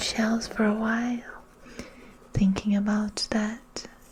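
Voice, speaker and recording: The speaker is soft-spoken and talks at a very slow pace. Noticeable background noise can be heard. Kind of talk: guided meditation / ASMR relaxation narration. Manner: soft-spoken, slow.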